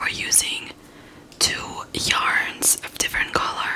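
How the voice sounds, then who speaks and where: There is noticeable background noise. Beneath it, a woman whispers at a fairly slow pace. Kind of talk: casual intro to camera about crochet project. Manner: soft, whispering, relaxing.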